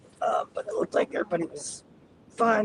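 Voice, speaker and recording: A man with an American accent at a fairly quick pace, dry and close with no echo, amid noticeable background noise. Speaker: storm chaser live streamer. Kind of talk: live stream commentary while driving. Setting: in a car.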